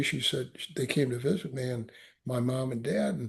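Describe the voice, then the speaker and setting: Somewhat breathy, a man with an American accent speaks with fairly even intonation. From US Midwest. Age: 70s. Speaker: Marine veteran and author. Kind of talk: interview testimony. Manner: halting, repeats words.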